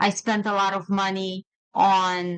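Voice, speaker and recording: A woman is speaking. She has a Romanian accent. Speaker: attorney and podcast host. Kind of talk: casual conversation.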